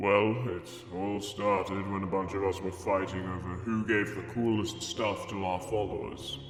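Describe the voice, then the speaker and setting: Putting on a character voice at a fairly low pitch, a man talks at a moderate pace with hardly any pauses, amid clear background noise and clear echo. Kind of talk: mock-solemn divine pronouncement. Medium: machinima.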